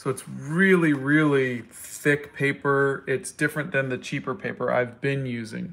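This man has an ordinary speaking voice with a fairly high pitch. He talks at a fairly slow pace with ordinary pitch variation. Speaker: artist and comic book creator. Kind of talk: casual chat while drawing on livestream. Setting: live video stream.

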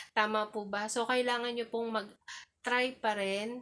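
At a moderate pace, a woman with a normal speaking voice talks at a fairly high pitch. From Philippines. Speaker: YouTuber and domestic helper. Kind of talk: vlog monologue. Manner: polite, frequent fillers.

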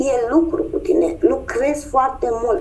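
The woman's pitch swings very widely while she talks at a fairly slow speed. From Romania, Constanța; Romania. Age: 50s. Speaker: human design guide. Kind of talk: interview. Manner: hesitant, many fillers. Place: home room. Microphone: video call.

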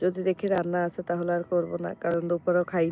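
A woman speaks in a fairly low pitch with a dark, mellow tone. The sound is dry and close, with no echo. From Bangladesh, Noakhali. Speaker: vlogger. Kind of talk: live stream chat. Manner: animated.

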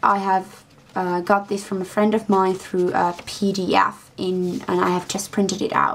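Fairly slowly, a woman speaks. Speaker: book vlogger. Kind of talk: casual vlog chat. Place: home room. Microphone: webcam.

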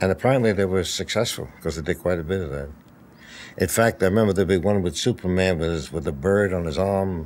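Ordinary pitch variation at a fairly quick pace. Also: man. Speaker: interviewee. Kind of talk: interview answer. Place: home room.

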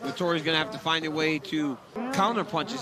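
A man with a fairly high voice speaks fairly quickly, his intonation lively and his tone animated. Noticeable background noise can be heard. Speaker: color commentator and fight analyst. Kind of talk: live fight color analysis, breaking down technique as it happens. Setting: cageside commentary booth at a live event. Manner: animated and instructive, pointing out details with rapid urgency; excitable bursts reacting to action.

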